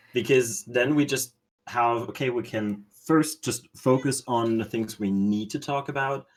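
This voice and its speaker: At a fairly slow pace, a man talks at a medium pitch with ordinary pitch variation in a very clean recording with a silent background. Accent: non-native. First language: not English. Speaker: stream moderator. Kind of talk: casual chat.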